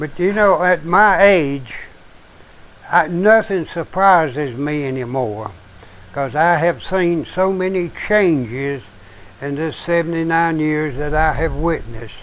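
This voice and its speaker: Fairly slow speech from a man at a fairly high pitch, with ordinary pitch variation and noticeable background noise. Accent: Appalachian. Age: 70s. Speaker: show host, preacher. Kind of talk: casual chat. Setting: live stream.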